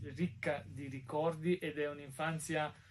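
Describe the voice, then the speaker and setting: The voice is somewhat breathy and goes at a very slow pace. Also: man. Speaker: podcast guest. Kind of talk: casual interview.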